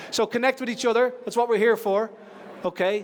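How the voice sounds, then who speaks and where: Noticeable background noise sits behind a man with an Irish accent and a high pitch. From Ireland. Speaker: conference speaker. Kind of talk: conference talk. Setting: stage with audience. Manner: fast.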